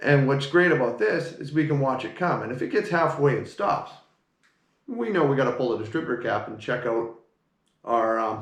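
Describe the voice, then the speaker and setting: A man talks with lively intonation. He leaves long, frequent pauses. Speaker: car mechanic. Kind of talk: tutorial. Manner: fast.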